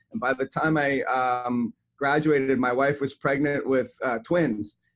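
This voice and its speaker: At a fairly slow pace, a man of medium pitch talks with ordinary pitch variation. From Canada, Toronto. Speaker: chiropractor and health coach. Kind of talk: podcast interview.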